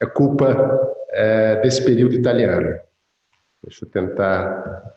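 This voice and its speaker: Audible room echo around a man's medium-pitched voice. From Brazil. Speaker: conference speaker, data protection officer. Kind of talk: conference talk. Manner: hesitant, many fillers.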